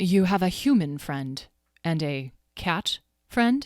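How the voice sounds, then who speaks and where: A female-sounding put-on character voice at medium pitch speaks fairly slowly. The recording is very clean, with a silent background. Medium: read story. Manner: crisp, proper.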